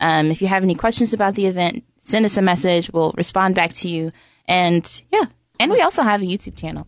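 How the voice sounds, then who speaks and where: Her medium-pitched voice races along at a very fast pace, with ordinary pitch variation, as this woman talks. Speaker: survivor guest. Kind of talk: emotional interview.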